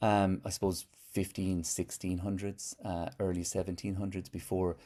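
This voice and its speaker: The voice has a dark, mellow tone and an Irish accent. Delivery is at a moderate pace with fairly even intonation. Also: man. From Ireland. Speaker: poet and musician. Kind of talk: interview answer.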